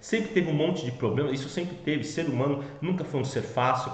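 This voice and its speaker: A man's fairly high voice with ordinary pitch variation, audible room echo and noticeable background noise. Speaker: finance educator. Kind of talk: educational talk. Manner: casual with fillers.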